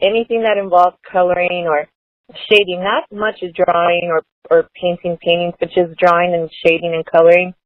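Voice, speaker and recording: A woman's fairly low pitch, moderate pace and monotone, flat intonation. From Los Angeles (East LA, South Central, Watts). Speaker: beauty influencer. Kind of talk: casual interview chat.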